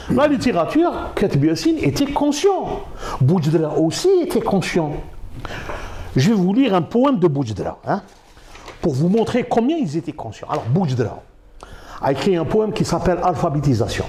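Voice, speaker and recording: Over noticeable background noise, a high-pitched man speaks at a moderate pace with very wide pitch swings and long, frequent pauses. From Algeria. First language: Arabic (speaking French). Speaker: university professor. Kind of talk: interview. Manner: halting.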